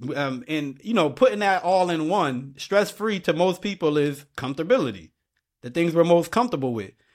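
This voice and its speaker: In a northeastern US accent, the speaker uses lively intonation at a moderate pace in a very clean recording with a silent background. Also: man, high pitch for a man. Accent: urban northeastern US. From Bridgeport, Connecticut. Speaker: podcast host. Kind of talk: casual conversation. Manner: informal, repetitive, conversational.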